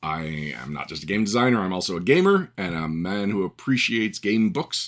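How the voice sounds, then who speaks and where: Heard in a very clean recording with a silent background, a man with a normal speaking voice and a Canadian accent talks at a moderate pace and fairly low pitch with lively intonation. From Canada. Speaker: podcast host and game writer. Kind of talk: solo podcast monologue.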